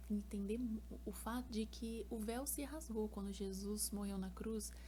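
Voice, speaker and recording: A woman speaks over noticeable background noise. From São Paulo state, Brazil. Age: 20s. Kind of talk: casual talk to camera.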